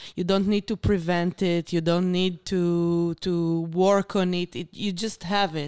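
A woman with an Israeli accent speaks at a fairly slow pace with hardly any pauses. Her pitch is fairly low, her intonation monotone and flat, and the sound is dry and close with no echo. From Israel, Beersheba. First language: Hebrew. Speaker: artist and art therapist. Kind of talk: interview conversation. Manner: halting.

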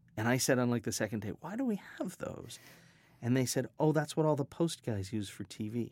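A man with an unremarkable speaking voice talks at a fairly quick pace and medium pitch. His intonation is lively. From US West, Colorado and Hawaii. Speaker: sound design professor. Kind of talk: interview. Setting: studio.

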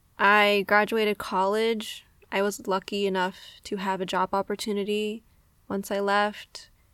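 A woman with an American accent uses a normal speaking voice at a medium pitch, her intonation fairly even. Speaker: podcast host. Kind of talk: casual monologue.

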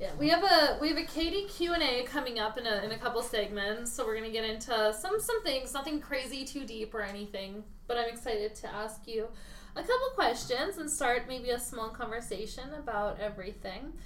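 Lively intonation and a fairly quick pace come through over audible room echo. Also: woman, high pitch for a woman. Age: 30s. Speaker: podcast co-host. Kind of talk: casual chat.

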